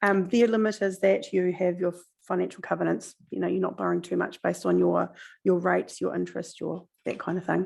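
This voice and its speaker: Someone with a New Zealand accent speaks at a fairly quick pace against a quiet background. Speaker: council finance officer. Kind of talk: council meeting briefing. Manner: fast.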